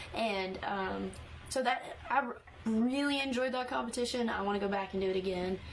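A woman with a Texas accent speaks at a moderate pace in a fairly high voice, her pitch varying in an ordinary way, over noticeable background noise. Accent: Texas Southern. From East Texas. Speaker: country singer-songwriter. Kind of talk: interview.

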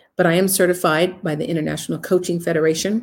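Talking at a fairly quick pace with vocal fry and fairly even intonation, a woman is heard in a very clean recording with a silent background. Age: 60s. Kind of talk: live broadcast monologue.

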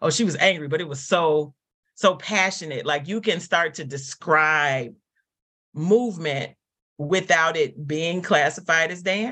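A woman with an American accent sounds animated, bright and sharp, using a fairly low pitch and ordinary pitch variation. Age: 40s. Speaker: dance company artistic director. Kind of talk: casual interview.

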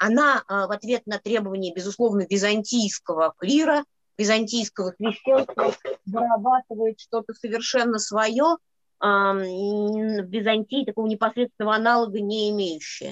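A woman with a plain, everyday voice speaks at a moderate pace and a fairly high pitch, with ordinary pitch variation, in a dry, close sound with no echo. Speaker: scholar co-presenter. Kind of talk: academic seminar lecture.

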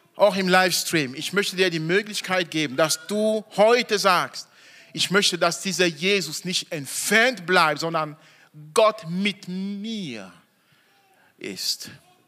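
This man's voice is high, bright and sharp, raised and projected. He speaks at a very slow pace with ordinary pitch variation. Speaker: preacher. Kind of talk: sermon in church, evening Christmas service. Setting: church with congregation. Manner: animated, emphatic, stressing key words; slow deliberate phrasing, audience call-and-response.

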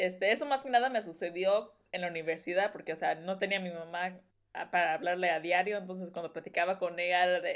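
A woman with an unremarkable speaking voice talks at a fairly quick pace, with a medium pitch and ordinary pitch variation. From Los Angeles, California (Mexican-born). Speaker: wedding dress designer. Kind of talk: casual chat.

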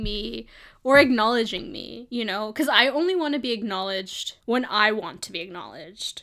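On a very clean recording with a silent background, a woman with an American accent speaks at a fairly slow pace, her fairly high voice bright and sharp in tone. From New York, Brooklyn. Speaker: podcast co-host. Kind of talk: casual chat. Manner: animated.

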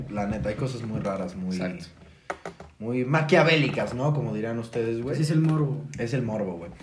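Lively intonation amid noticeable background noise and audible room echo. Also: man, medium pitch for a man, moderate pace. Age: 20s. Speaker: podcast guest. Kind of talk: casual chat.

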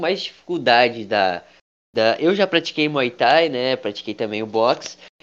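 A man at a medium pitch and moderate pace, with lively intonation and a normal speaking voice. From Brazil. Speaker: podcast host. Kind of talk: casual chat.

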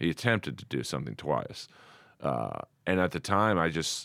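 Recorded very cleanly against a silent background, a man with an American accent speaks at a very deep, low pitch with vocal fry and lively intonation. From US West Coast, Los Angeles. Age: 50s. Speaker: comedian. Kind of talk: casual chat. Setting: studio.

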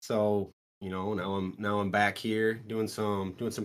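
In a Midwestern American accent, a man speaks at a fairly low pitch on a very clean recording with a silent background. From Iowa (Strawberry Point). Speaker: gym owner and powerlifter. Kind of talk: casual chat.

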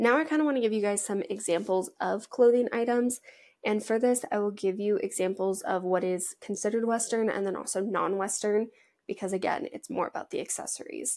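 A woman with an American accent, fairly high in pitch, at a moderate pace with ordinary pitch variation. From Washington state, US. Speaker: podcast host, agriculture and western fashion. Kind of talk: casual solo podcast talk.

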